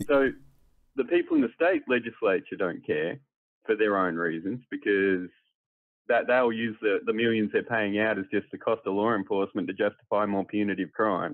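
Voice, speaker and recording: The speaker talks with an Australian accent and ordinary pitch variation. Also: man, fairly low pitch for a man, moderate pace. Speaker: political commentator. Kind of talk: panel discussion.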